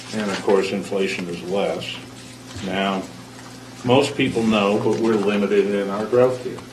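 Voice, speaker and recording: Against noticeable background noise and audible room echo, a man speaks fairly slowly with a fairly low pitch and fairly even intonation. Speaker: school board member. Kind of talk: public meeting speech. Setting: board meeting room. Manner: halting, many fillers.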